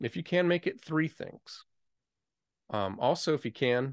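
Against a quiet background, a man's fairly high voice moves through very wide pitch swings. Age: 40s. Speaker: music podcast host, musician. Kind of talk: solo podcast monologue. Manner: conversational with filler words.

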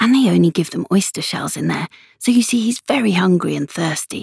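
Putting on a character voice, a woman speaks fairly quickly at a fairly low pitch with lively intonation, a husky, rough edge, vocal fry and a slightly mellow tone, the sound dry and close with no echo.

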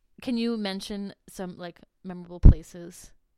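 Speaking with an American accent, a woman uses an unremarkable speaking voice at medium pitch with fairly even intonation. She keeps a moderate pace on a very clean recording with a silent background. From New Jersey. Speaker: podcast host. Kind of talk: casual interview.

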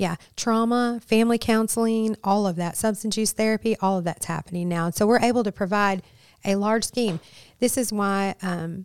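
A woman speaks in a plain, everyday voice with an American accent, her pitch moving in an ordinary way at a fairly quick pace. The recording is very clean and dry, close up with no echo and a silent background. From Michigan, Flint. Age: 50s. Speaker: ministry leader in addiction recovery. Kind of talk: podcast interview.

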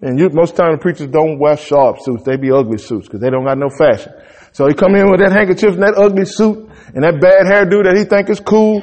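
Over noticeable background noise, a man talks at a very fast pace with a high pitch. His intonation is lively and his tone animated. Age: 40s. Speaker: pastor. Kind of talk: sermon.

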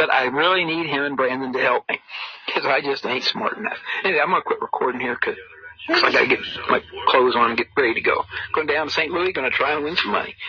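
A man in an American accent rushes along very fast while noticeable background noise carries on. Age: old. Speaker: monologuing man recording his life. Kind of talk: rambling personal monologue, casual, with cursing. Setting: outdoors. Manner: rambling, halting with many fillers.

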